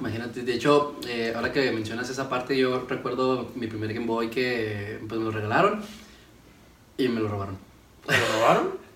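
A man talks at a moderate pace with medium pitch and fairly even intonation. Noticeable background noise and audible room echo fill the recording. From Ciudad Juárez, Chihuahua, northern Mexico. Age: 20s. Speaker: engineering student and entrepreneur. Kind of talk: casual chat.

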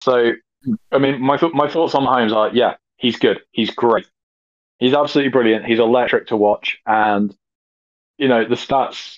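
In a British accent, a man of medium pitch talks at a fairly quick pace with fairly even intonation. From Britain. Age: 30s. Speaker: podcast guest. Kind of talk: casual chat.

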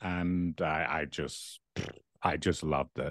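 A man with a very deep, low pitch, dry and close with no echo, against a quiet background. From Dublin, Ireland. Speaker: couples therapist. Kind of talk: casual interview. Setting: video call.

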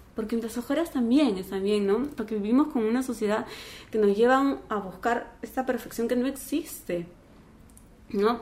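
Her tone is calm as this woman talks at a moderate pace, her fairly high pitch showing ordinary variation. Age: 40s. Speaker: former telenovela actress, life coach and meditation teacher. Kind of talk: casual chat.

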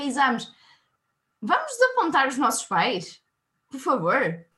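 A raised, projected voice at a moderate pace. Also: woman. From northern Portugal, Minho (Viana do Castelo). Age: 20s. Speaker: university student, quiz contestant. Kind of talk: casual quiz chat. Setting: video call.

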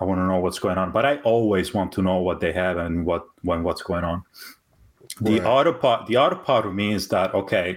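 This man's voice sits very deep and low. He talks fairly quickly. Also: ordinary pitch variation. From Italy. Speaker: podcast guest. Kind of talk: casual banter.

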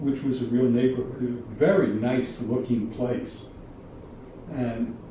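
A man talks at a medium pitch and a moderate pace. Audible room echo and noticeable background noise surround his voice. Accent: American. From New York City, Harlem. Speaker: retired school administrator. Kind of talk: casual interview chat.

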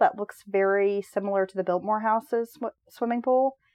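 A woman's normal speaking voice, medium in pitch, with an American accent. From US South. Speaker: podcast host. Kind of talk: casual chat.

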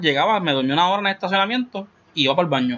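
Very fast and lively in intonation, a man talks with a high pitch. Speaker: podcast host. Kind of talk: casual chat.

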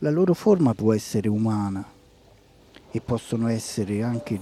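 With lively intonation, a man speaks at a moderate pace. His pitch sits in the medium range. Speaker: spiritual reading and meditation host. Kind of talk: reading aloud.

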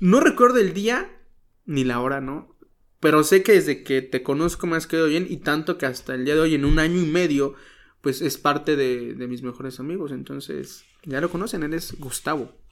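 An animated man's fairly high voice with ordinary pitch variation at a moderate pace, on a very clean recording with a silent background. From Mexico, Guerrero (Chilpancingo). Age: 20s. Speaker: pastor and radio announcer. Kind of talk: casual interview. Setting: outdoors. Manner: animated, joking.

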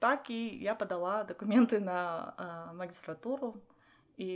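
Speaking fairly slowly, a woman uses ordinary pitch variation. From Armenia, Vanadzor. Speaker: doctoral student and lecturer. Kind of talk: casual interview chat. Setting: in person, same room. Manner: halting.

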